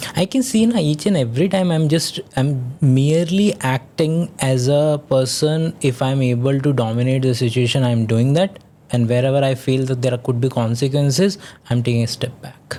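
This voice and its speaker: A man with a dark, mellow, somewhat breathy tone talks at a moderate pace and medium pitch, with ordinary pitch variation. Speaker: science content creator. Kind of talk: podcast debate.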